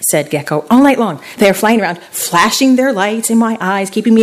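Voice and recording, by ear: Someone is reading aloud in a natural voice, the pitch rising and falling by an ordinary amount.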